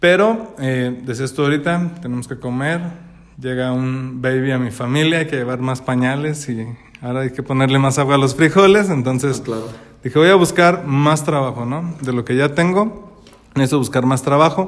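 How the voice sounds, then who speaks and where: A man speaks at a moderate pace with a fairly high pitch and ordinary pitch variation. His is an unremarkable speaking voice. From Mexico, Celaya (Guanajuato). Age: 30s. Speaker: wedding photographer. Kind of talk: casual chat.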